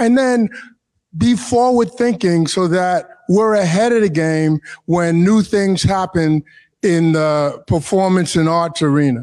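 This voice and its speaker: The speaker has a New York accent and ordinary pitch variation. The pace is fairly slow. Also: man. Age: 70s. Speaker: arts board member. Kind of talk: interview. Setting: stage with audience.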